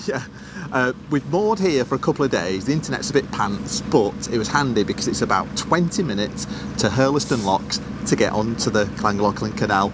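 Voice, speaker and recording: A man's fairly quick speech comes through dry, with no echo, while noticeable background noise runs underneath. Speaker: vlogger. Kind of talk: casual vlog chat. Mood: cheerful, excited. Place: boat. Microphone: lapel.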